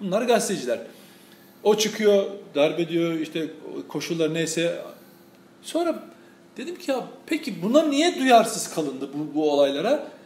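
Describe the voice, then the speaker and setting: With noticeable background noise around him, a man speaks at a fairly slow pace in a high pitch, using very wide pitch swings and long, frequent pauses. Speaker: journalist and commentator. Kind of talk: casual political discussion. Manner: loud at times.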